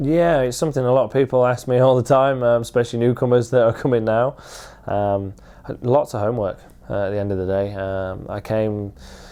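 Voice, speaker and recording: The voice, dark and mellow in tone, moves at a fairly quick pace with ordinary pitch variation and a Lincolnshire accent. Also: man, medium pitch for a man. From Louth, Lincolnshire, England. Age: 20s. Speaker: motorcycle road racer. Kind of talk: interview answer. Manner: casual.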